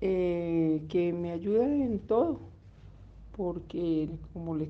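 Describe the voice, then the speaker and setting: A woman with a fairly low voice is heard amid audible room echo. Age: 70s. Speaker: grandmother in exercise study. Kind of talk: interview. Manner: halting.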